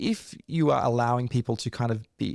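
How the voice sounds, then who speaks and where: With a dark, mellow tone and an Australian accent, a man speaks at medium pitch with ordinary pitch variation, in a very clean recording with a silent background and a dry, close sound with no echo. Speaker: leadership coach and author. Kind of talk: interview.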